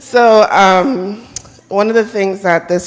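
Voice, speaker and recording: A woman speaks loudly. Her pitch sits in the middle range. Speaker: audience member, team manager. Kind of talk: audience Q&A sharing. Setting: conference room with audience.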